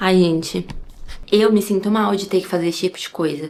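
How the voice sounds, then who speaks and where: A woman speaks at a medium pitch and a moderate pace with fairly even intonation. Noticeable background noise is present. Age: 20s. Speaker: ASMR content creator. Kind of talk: casual vlog talk to camera.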